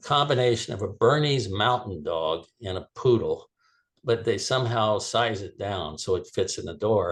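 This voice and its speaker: In an American accent, a man speaks at a moderate pace with ordinary pitch variation. His voice is somewhat breathy, and the background is quiet. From South Florida. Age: 70s. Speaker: author. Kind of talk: classroom Q&A interview. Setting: video call. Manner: halting with frequent fillers and restarts.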